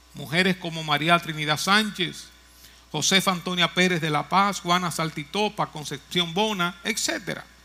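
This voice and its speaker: With music in the background, a man with a high pitch speaks at a fairly slow pace and fairly even intonation. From Dominican Republic, Moca. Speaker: pastor. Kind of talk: sermon.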